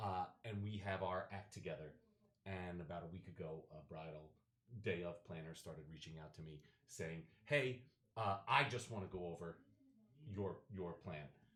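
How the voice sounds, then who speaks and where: With a very deep, low pitch that varies in an ordinary way, a man talks at a moderate pace, his loudness swinging widely and his pauses long and frequent. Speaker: wedding DJ. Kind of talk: casual chat.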